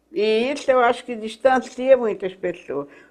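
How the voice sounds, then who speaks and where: Her pitch sitting fairly high, a woman speaks with ordinary variation in tone. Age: 80s+. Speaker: political activist. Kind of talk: interview.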